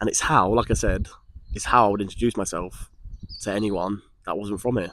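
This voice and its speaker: Delivered at a fairly quick pace in an Essex accent, the speech keeps a fairly even intonation. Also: man, fairly low pitch for a man. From Essex, England. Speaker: vlogger. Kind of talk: personal vlog monologue. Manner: hesitant, with frequent repetitions.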